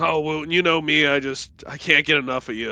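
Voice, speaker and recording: A man puts on a character voice, raised and projected, fairly high-pitched, at a moderate pace. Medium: actual play. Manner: hearty, cocky.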